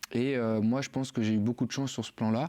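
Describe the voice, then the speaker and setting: This man's voice is fairly low. His intonation stays fairly even. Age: 20s. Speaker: university student. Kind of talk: podcast interview. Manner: halting, many fillers.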